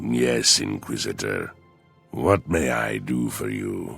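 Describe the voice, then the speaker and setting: A man puts on a character voice with a very deep, low pitch, speaking at a very slow pace over faint music in the background. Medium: game stream. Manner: smooth, sardonic, courteous.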